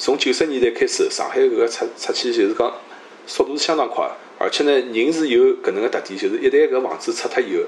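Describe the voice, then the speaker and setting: A man talks at a very fast pace in a Shanghai accent. Noticeable background noise sits behind him. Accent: native Shanghainese speaker. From Shanghai (Luwan district). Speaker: economist, scholar. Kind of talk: interview conversation.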